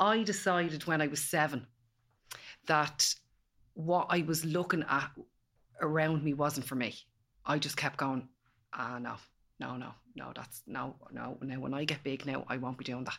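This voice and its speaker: With an Irish accent, the speaker talks at a moderate pace with ordinary pitch variation and long, frequent pauses, on a very clean recording with a silent background. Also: woman, very deep, low pitch for a woman. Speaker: empowerment coach. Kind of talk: casual chat.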